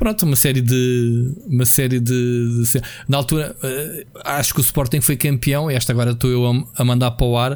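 A man talks in a plain, everyday voice at a medium pitch. His intonation is fairly even and his pace moderate. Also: hardly any pauses. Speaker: video game podcast co-host. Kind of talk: casual chat.

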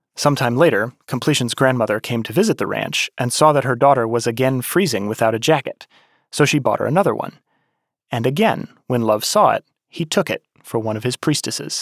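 Recorded very cleanly against a silent background, a normal speaking voice moves at a fairly quick pace with ordinary pitch variation. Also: man, medium pitch for a man. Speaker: podcast host and narrator. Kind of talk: scripted narration.

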